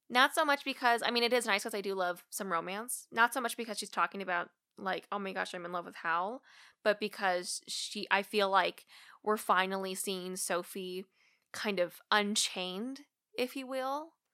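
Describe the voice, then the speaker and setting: A woman speaks with an American accent in a bright, sharp tone. The recording is very clean, with a silent background. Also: medium pitch for a woman, ordinary pitch variation, moderate pace. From Missouri, US Midwest. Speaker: life coach. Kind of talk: casual chat.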